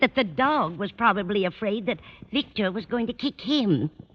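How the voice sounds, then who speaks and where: The speaker goes at a moderate pace with vocal fry. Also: woman. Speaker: landlady in a radio comedy. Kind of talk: old-time radio comedy performance.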